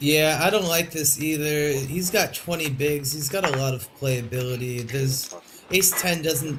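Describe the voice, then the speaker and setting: A speaker with an American accent talks at a moderate pace, with audible room echo and noticeable background noise. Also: man. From United States. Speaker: poker player and co-commentator. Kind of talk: live commentary.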